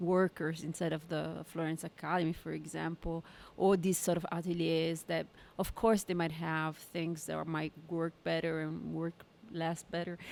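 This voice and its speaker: The speaker talks at a moderate pace in an Italian accent. The intonation is monotone and flat. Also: woman, fairly low pitch for a woman. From Italy. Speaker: painter. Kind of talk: casual chat.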